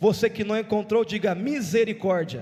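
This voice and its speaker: A man with a high voice speaks very slowly and with fairly even intonation over noticeable background noise. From Brazil, São Paulo state. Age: 20s. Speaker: evangelical preacher. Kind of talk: church sermon.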